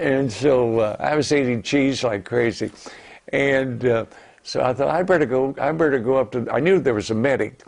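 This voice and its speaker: Noticeable background noise runs behind a man speaking at a moderate pace. His pitch is medium, with ordinary variation. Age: 80s+. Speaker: war veteran. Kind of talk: interview answer.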